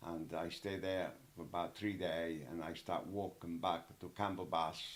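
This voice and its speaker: A man with an Italian accent speaks in a very deep, low pitch at a fairly slow pace with fairly even intonation. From Italy. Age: 80s+. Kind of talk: interview answer.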